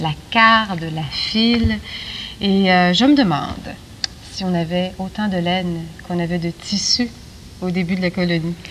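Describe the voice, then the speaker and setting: Through noticeable background noise, a woman of medium pitch speaks fairly slowly, with ordinary pitch variation and long, frequent pauses. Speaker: TV magazine host. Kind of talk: TV interview questions.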